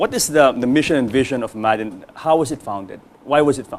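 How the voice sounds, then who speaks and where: Noticeable background noise runs behind a man talking at a very fast pace. His intonation is lively. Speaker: talk show host. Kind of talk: talk show interview.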